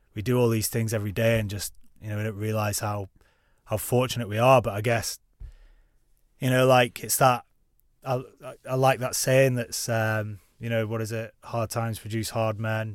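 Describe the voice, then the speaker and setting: With a Lancashire accent, a man talks in a flat, monotone way, leaving long, frequent pauses. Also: medium pitch for a man, moderate pace, very clean recording, silent background. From northern England, Preston. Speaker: ex-soldier and mountaineer. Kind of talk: casual chat.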